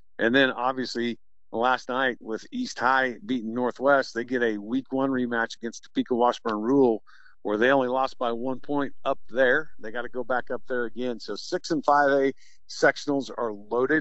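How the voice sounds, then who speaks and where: A man talks at a moderate pace with a normal speaking voice. His pitch is medium and his intonation fairly even. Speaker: high school football radio announcer. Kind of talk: casual analysis, interview. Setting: phone call.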